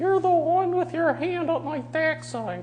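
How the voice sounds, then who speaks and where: Someone performs a put-on character voice at a moderate pace over clear background noise. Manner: ribald, crude.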